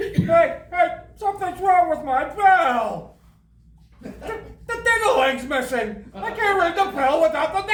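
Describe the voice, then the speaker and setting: In a put-on character voice with an extremely high pitch, the speaker goes at a fairly slow pace. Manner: panicked, excited.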